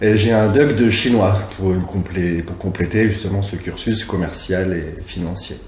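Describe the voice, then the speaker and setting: Delivery is fairly slow with hardly any pauses and fairly even intonation. Audible room echo and noticeable background noise are present. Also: man, very deep, low pitch for a man. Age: 30s. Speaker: sports coach. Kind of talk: testimony interview.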